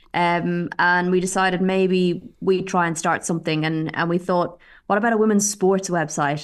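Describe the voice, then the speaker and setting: A woman with an Irish accent speaks at a moderate pace in a fairly low, flat monotone. The recording is very clean, with a silent background. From Ireland. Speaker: football reporter and photographer. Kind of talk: interview.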